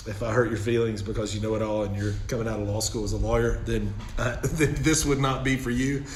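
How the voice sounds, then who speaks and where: A man with a Southern US accent talks at a fairly quick pace in a medium pitch. Audible room echo and noticeable background noise surround him. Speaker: elder law attorney. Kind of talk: casual chat. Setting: office.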